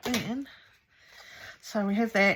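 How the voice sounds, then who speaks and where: Somewhat breathy, a woman talks at a fairly slow pace with fairly even intonation. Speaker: crafting youtuber. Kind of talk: tutorial. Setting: home craft studio. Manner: casual, hesitant with fillers.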